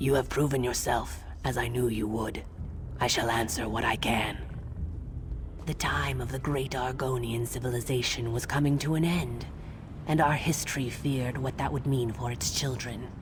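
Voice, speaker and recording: Someone puts on a character voice at a low-to-middle pitch, speaking at a moderate pace over loud background noise. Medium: video game. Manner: measured, solemn.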